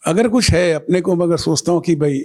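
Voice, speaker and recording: A man speaks with very wide pitch swings. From Bengali, raised in Nagpur, India. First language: Bengali (speaking Hindi). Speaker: painter and art critic. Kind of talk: interview. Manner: reflective with frequent hesitations.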